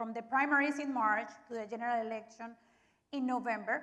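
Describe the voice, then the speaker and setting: The woman talks at a moderate pace, her intonation monotone and flat. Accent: Spanish. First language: Spanish. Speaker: TV moderator. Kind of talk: forum moderation.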